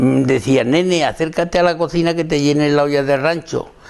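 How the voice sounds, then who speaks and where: With fairly even intonation, this man keeps to a moderate pace. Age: 80s+. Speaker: elderly interviewee, oral history witness. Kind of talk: oral history interview, reminiscence. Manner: halting, with hesitations and repetitions.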